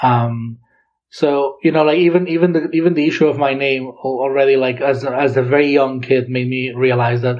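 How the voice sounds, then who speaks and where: With a Catalan accent, a man speaks at a moderate pace. His pitch is medium. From Catalonia, Girona. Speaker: linguistics PhD researcher. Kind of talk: interview. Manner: halting.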